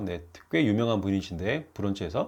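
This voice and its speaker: A man against a quiet background. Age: 50s. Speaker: YouTuber and habit author. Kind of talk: casual vlog monologue. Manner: hesitant, many fillers.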